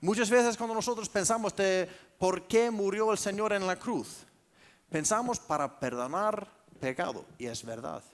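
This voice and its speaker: Lively intonation carries speech delivered fairly slowly. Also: man, high pitch for a man. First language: Icelandic (speaking Spanish). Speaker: pastor. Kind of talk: sermon.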